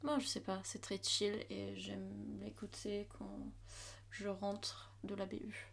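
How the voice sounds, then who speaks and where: A woman is speaking. Her pace is very slow. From Germany, Hamburg. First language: German (speaking French). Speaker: university student. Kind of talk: casual chat.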